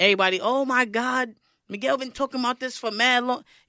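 A woman with a high pitch and a bright, sharp tone speaks in a New York accent at a fairly quick pace. Her intonation is fairly even, in a very clean recording with a silent background. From Brooklyn, New York. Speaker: podcast co-host. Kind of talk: casual chat.

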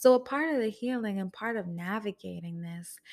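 On a very clean recording with a silent background, a woman talks at a moderate pace. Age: 20s. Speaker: podcast host. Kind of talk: solo podcast monologue. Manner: soft-spoken.

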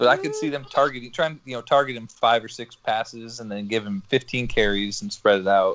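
With a normal speaking voice, a man talks at a fairly quick pace with hardly any pauses, at a medium pitch, with ordinary pitch variation and big swings in loudness. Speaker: podcast co-host. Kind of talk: casual banter. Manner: crude joker.

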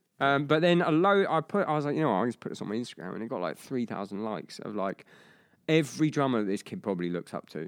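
Racing at a very fast pace, a man at medium pitch makes very wide pitch swings. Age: 30s. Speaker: drummer and drumming podcast host. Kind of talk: casual interview.

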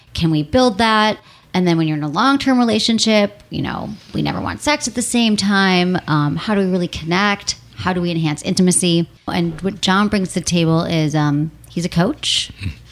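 There is noticeable background noise. A woman speaks at a medium pitch with lively intonation. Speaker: sex and relationship podcast host. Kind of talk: casual interview chat. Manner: fast talker.

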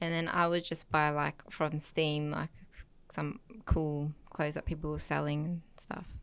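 In an Australian accent, a woman with a very deep, low pitch speaks at a fairly slow pace with monotone, flat intonation. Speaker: guest. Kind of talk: casual chat.

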